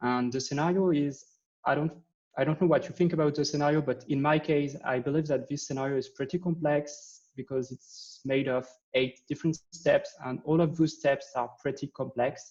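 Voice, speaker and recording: A man speaks at a fairly high pitch with fairly even intonation. His voice is somewhat breathy. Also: moderate pace. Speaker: software developer, conference speaker. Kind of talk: tech talk at meetup. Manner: halting, many fillers.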